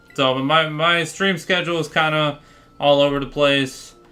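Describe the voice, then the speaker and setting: Music plays in the background as a man speaks. His pitch is fairly high and his pace fairly slow. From Florida, US. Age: 20s. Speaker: gaming streamer. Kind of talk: casual livestream chat. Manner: casual, filler-heavy.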